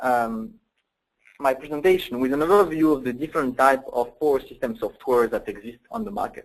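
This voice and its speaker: A man with a French accent, fairly high-pitched, lively in intonation, at a fairly quick pace. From France. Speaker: software application engineer. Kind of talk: technical webinar presentation. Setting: online webinar. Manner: hesitant, many fillers.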